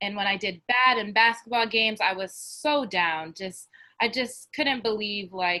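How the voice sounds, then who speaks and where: Speaking with a New Jersey accent, a woman has a bright, sharp tone at medium pitch and a fairly slow pace. The recording is very clean with a silent background. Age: 20s. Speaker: college basketball player. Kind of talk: testimony.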